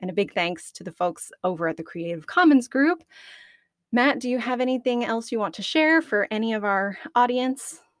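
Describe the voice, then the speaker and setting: An American woman talks at a moderate pace with fairly high pitch, very wide pitch swings and big swings in loudness. The recording is very clean, with a silent background. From Arkansas. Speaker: podcast host. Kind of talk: casual interview.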